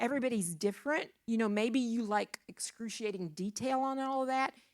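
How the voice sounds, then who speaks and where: Fairly high-pitched, a woman with an unremarkable speaking voice keeps a very even loudness and ordinary pitch variation. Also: fairly quick pace. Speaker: church speaker on finances. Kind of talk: church teaching talk to young adults.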